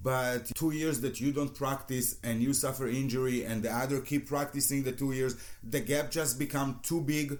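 In an Israeli accent, a man talks at medium pitch and a moderate pace with monotone, flat intonation, very even loudness and hardly any pauses. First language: Hebrew. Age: 40s. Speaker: hypnotherapist and former judo athlete. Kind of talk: interview.

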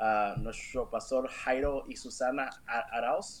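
In a monotone, flat intonation, a man talks at medium pitch. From Los Angeles, US, Salvadoran parents. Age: 30s. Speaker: worship musician and real estate agent. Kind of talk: casual interview. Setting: livestream video call.

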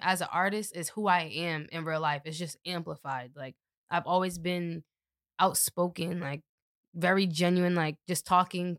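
An unremarkable speaking voice from a woman, fairly low in pitch, at a moderate pace, with a dry, close sound with no echo and a very clean recording with a silent background. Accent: American. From Boston, Dorchester. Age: 20s. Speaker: rapper. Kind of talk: casual chat.

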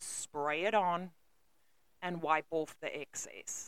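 This woman's voice is fairly low in pitch, and she talks very slowly. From South Africa. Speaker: countertop salesperson. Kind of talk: interview about work. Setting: studio.

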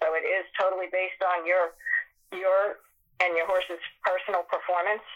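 Speaking fairly quickly, a woman with an American accent holds a medium pitch with monotone, flat intonation. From Massachusetts. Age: 50s. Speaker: barrel racer and horse trainer. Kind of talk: podcast interview.

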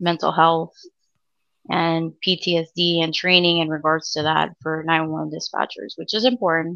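Speaking at a fairly slow pace, a woman with an American accent uses a fairly low pitch and a monotone, flat intonation. Her tone is bright and sharp against a quiet background. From Miami, Florida. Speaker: 911 dispatcher. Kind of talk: casual interview.

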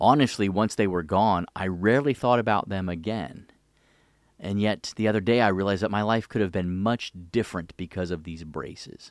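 A plain, everyday voice: a man with an American accent, fairly low pitch, ordinary pitch variation and a moderate pace, in a very clean recording with a silent background. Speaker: podcast host, retired army officer. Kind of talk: scripted narration.

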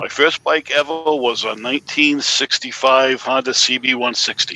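Noticeable background noise surrounds a man with a Boston accent. He talks at a moderate pace in a monotone, flat intonation. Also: medium pitch for a man, dry, close sound with no echo. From Massachusetts, Swansea. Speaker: caller. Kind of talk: casual chat.

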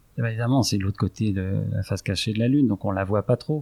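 Somewhat breathy, the man delivers his words at a fairly quick pace. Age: 40s. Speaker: real estate investor, company director. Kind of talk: interview.

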